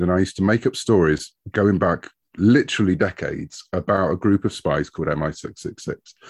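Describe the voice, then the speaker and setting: Over a quiet background, a man with a British accent speaks at a fairly low pitch and moderate pace. His pitch varies in an ordinary way, and the sound is dry and close with no echo. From United Kingdom. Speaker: comic book writer. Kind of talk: casual interview chat.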